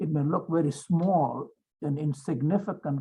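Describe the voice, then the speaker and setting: Delivered at a fairly slow pace, the voice is somewhat breathy with a dark, mellow tone. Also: man. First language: not English. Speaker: lawyer and legal mentor. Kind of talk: seminar talk.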